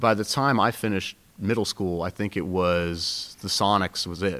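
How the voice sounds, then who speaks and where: On a very clean recording with a silent background, a man speaks in a fairly low pitch with fairly even intonation and a Pacific Northwest accent. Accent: general American (Pacific Northwest). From Seattle. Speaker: youth basketball coach and student. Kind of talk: interview.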